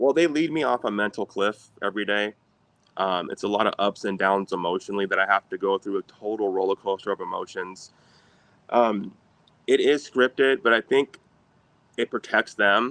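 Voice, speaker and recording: In a plain, everyday voice, a man with an American accent speaks at a moderate pace, his fairly low pitch showing ordinary variation. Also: dry, close sound with no echo. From Sacramento, California. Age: 30s. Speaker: former parking enforcement officer. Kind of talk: interview answer.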